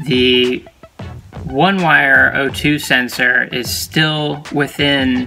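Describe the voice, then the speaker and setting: A man's voice over faint background music. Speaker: car project vlogger. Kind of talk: casual vlog chat. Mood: slightly puzzled, upbeat. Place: car. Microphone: phone near.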